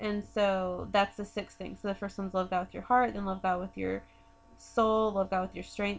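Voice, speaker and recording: A woman with an American accent speaks in an unremarkable speaking voice at a medium pitch, her intonation fairly even. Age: 20s. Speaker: podcast co-host. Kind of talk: casual chat.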